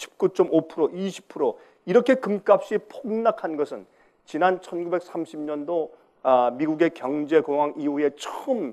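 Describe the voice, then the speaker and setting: Lively intonation marks this man's dark, mellow tone. He speaks at a very slow pace. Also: quiet background. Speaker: pastor. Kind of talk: sermon. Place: stage. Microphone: lapel.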